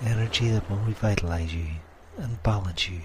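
A man speaks in a fairly low pitch with a soothing, somewhat breathy tone. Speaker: hypnotist. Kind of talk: guided hypnosis session. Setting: pre-recorded audio session. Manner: slow, soothing, hypnotic.

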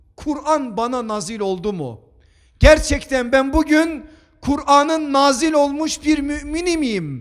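At a very slow pace, a man speaks in an extremely high pitch with ordinary pitch variation. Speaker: preacher. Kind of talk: sermon.

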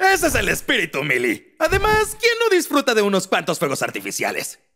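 Using a cartoonish character voice in a Latin American accent, a man speaks at a fairly quick pace with a high pitch, a bright, sharp tone and very wide pitch swings.

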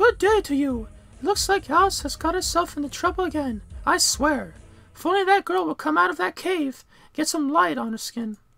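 A high-pitched, put-on character voice speaks at a moderate pace. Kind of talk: polite, proper.

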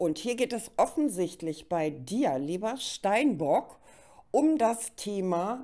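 Very wide pitch swings mark this woman's dark, mellow voice. She speaks at a very slow pace over a quiet background. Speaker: tarot card reader; card reader. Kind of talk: monthly tarot reading to camera. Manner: hesitant fillers.

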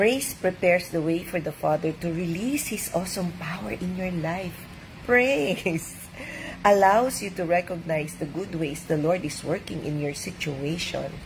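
Through noticeable background noise, a woman speaks in a warm, gentle tone with a fairly low pitch. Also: ordinary pitch variation, fairly slow pace. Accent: Filipino. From Philippines. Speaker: doctor and devotional reader. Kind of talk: devotional reading with reflective commentary, Taglish. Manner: warm, conversational, gentle; preacherly, earnest, uplifting cadence. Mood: warm, joyful, animated. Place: home room. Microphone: webcam.

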